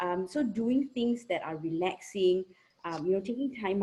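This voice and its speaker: With a dark, mellow tone, a woman speaks at a medium pitch and a moderate pace. Her intonation is lively. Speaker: psychologist. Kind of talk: Q&A answer in online talk. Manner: soft-spoken, too quiet at first.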